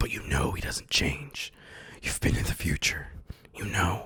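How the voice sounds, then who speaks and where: Using a put-on character voice, a man whispers raspily at a moderate pace. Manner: scary.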